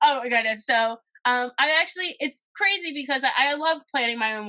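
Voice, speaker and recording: A loud woman speaks at a fairly quick pace, her high pitch showing ordinary variation. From Philadelphia, US Northeast. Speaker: talent coordinator and event curator. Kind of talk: podcast interview, casual chat. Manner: loud and outgoing; animated.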